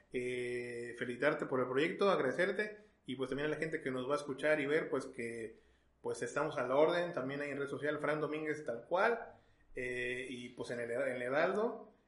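Audible room echo and noticeable background noise surround a man whose voice sits at a fairly high pitch with ordinary pitch variation. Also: moderate pace. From Mexico (Veracruz). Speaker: journalist and photographer. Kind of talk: casual interview.

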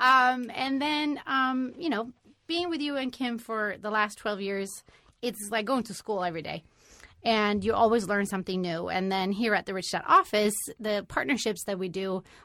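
Bright and sharp in tone, a woman with a fairly high pitch speaks at a moderate pace with lively intonation. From Sweden. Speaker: company employee and entrepreneur. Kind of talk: interview.

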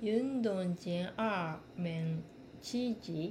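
In a Japanese accent, a woman speaks at a very slow pace with a medium pitch, ordinary pitch variation and a somewhat breathy sound, with audible room echo. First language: Japanese (speaking Chinese). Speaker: language student. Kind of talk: reading aloud practice. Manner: halting.

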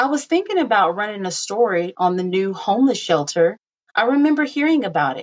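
Plain reading aloud with lively intonation takes place against a quiet background.

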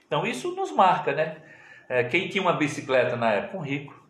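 A man at a moderate pace with ordinary pitch variation, amid noticeable background noise and audible room echo. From Pernambuco sertão, Brazil. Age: 50s. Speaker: pastor. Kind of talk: interview, casual chat.

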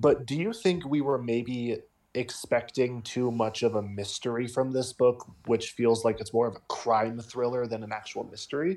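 At a moderate pace, a man talks in an unremarkable speaking voice of medium pitch with ordinary pitch variation. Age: young. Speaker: podcast co-host and literature student. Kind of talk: casual chat.

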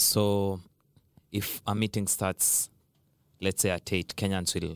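A man's very deep, low voice comes through in a monotone, flat intonation, dry and close with no echo, on a very clean recording with a silent background. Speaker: international student. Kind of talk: roundtable discussion.

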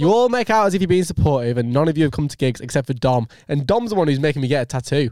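Speaking very fast with hardly any pauses, a man with a Lancashire accent has a dark, mellow tone at a fairly high pitch and very wide pitch swings. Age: 20s. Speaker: podcast host. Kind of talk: casual chat. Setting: studio.

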